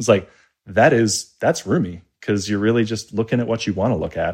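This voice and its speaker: A man with an Australian accent speaks at a moderate pace in a dark, mellow tone, recorded very cleanly against a silent background. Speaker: app developer and interface designer. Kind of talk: casual interview chat.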